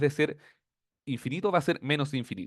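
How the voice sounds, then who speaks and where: In a quiet setting with a dry, close, echo-free sound, a man with a Chilean accent speaks at a fairly high pitch with ordinary pitch variation. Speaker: teaching assistant. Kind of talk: tutorial. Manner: fast.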